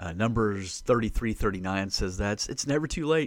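Recorded very cleanly against a silent background, a man with an unremarkable speaking voice talks at a moderate pace with ordinary pitch variation. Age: 40s. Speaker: podcast host and Bible teacher. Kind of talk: solo Bible teaching podcast. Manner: casual, conversational.

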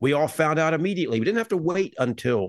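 A man with a normal speaking voice, fairly high in pitch, talks at a fairly quick pace with lively intonation against a quiet background, the sound dry and close with no echo. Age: 50s. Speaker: podcast host. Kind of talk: casual chat podcast.

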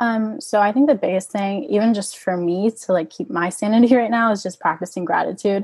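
In an American accent, a woman speaks with hardly any pauses at a medium pitch, somewhat breathy and with ordinary pitch variation, against a quiet background. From Orlando, Florida. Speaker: college rower. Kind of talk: interview.

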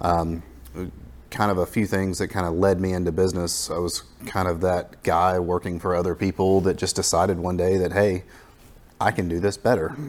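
With a very deep, low voice, a man speaks in a monotone, flat intonation. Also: moderate pace. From Florida Panhandle, US South. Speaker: business owner. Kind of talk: interview.

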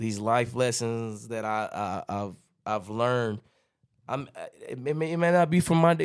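An ordinary speaking voice from a man at medium pitch, lively intonation and a moderate pace, in a very clean recording with a silent background. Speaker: podcast co-host. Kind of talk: casual chat.

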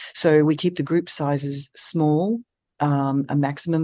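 A woman with an Australian accent, a very deep, low pitch, fairly even intonation and a fairly slow pace. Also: quiet background. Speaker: eating disorder treatment center CEO and dietitian. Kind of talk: interview conversation.

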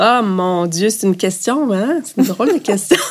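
With lively intonation, a woman's voice sits at a medium pitch. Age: 50s. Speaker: business executive. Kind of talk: interview. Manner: casual, hesitant.

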